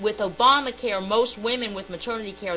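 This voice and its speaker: Amid noticeable background noise, a woman speaks in an animated tone at a moderate pace with ordinary pitch variation. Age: 50s. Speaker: radio co-host. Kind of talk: heated debate.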